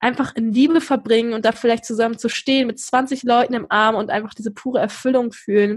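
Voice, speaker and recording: Fairly high pitch from a woman, with ordinary pitch variation. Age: 20s. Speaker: podcaster and university student. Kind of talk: casual interview. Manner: animated.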